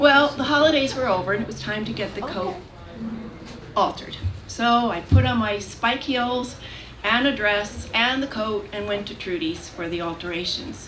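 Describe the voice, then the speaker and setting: Over noticeable background noise, a woman speaks at a moderate pace in a fairly high voice with lively intonation. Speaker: storyteller. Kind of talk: live storytelling performance.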